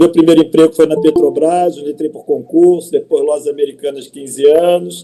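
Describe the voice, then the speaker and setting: Fairly quick speech with hardly any pauses, big swings in loudness and a monotone, flat intonation. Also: man, fairly high pitch for a man. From Rio de Janeiro, Brazil. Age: 60s. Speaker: mayoral candidate. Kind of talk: campaign presentation.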